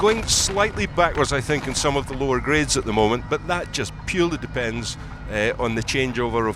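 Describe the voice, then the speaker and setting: A man with a Scottish accent at a fairly quick pace, with music in the background. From Scotland, Edinburgh. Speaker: pipe band expert commentator. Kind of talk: live commentary.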